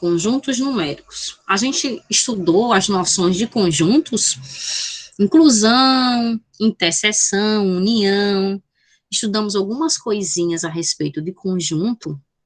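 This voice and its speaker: A woman speaks at a very slow pace with lively intonation, somewhat breathy and medium in pitch. The background stays quiet. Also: hardly any pauses, dry, close sound with no echo. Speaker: math teacher. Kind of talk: online lecture. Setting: video call.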